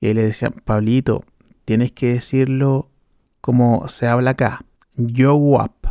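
A man with a Chilean accent at a medium pitch, dark and mellow in tone, monotone and flat, very slow with long, frequent pauses, very even in loudness, in a dry, close sound with no echo. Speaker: podcast host. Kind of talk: casual monologue.

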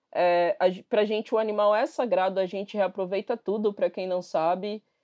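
This recording sounds dry and close, without any echo. The female speaker's tone is dark and mellow. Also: quiet background. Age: 30s. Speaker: human rights activist. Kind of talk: interview.

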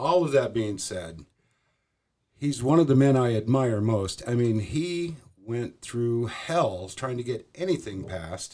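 A man speaks in an ordinary speaking voice at a medium pitch and a fairly slow pace, with lively intonation. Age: 50s. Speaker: tattoo artist. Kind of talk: casual chat.

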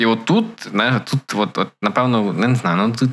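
This man has a normal speaking voice at a medium pitch. He talks at a moderate pace with lively intonation. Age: 20s. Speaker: podcast co-host. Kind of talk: casual chat.

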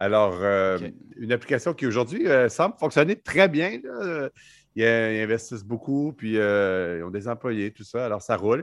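An ordinary speaking voice, a man at medium pitch with lively intonation and a fairly slow pace against a quiet background. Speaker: entrepreneur. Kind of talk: casual chat.

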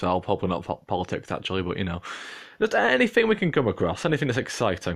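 A man's voice against a quiet background. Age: 20s. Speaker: podcast host. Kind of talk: casual monologue.

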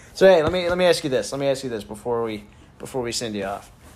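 A man talks at a medium pitch with lively intonation. Noticeable background noise runs underneath. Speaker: college sports podcast host. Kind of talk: casual banter and interview.

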